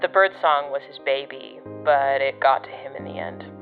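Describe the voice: Using a put-on character voice, a woman speaks at a moderate pace in an extremely low pitch with big pitch swings, faint music playing behind her.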